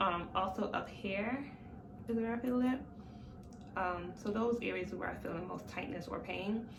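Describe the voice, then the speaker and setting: A woman of medium pitch speaks at a moderate pace with ordinary pitch variation. Audible room echo and noticeable background noise mark the recording. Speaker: vlogger. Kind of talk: casual vlog. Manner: hesitant, many fillers.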